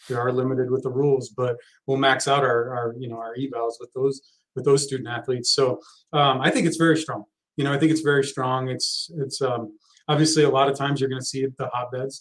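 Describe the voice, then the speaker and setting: A man talks in a monotone, flat intonation at medium pitch, with an American accent. His pace is fairly quick. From Texas. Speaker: college soccer head coach. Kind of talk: casual interview. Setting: live podcast recording.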